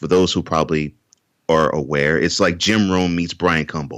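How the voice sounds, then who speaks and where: An American accent comes through. The delivery runs at a moderate speed. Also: man. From Texas, Houston. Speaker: author and sports podcaster. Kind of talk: interview. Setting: podcast.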